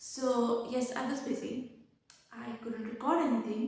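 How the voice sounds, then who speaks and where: Audible room echo around a high-pitched female voice. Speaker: book and writing vlogger. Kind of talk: casual vlog chat.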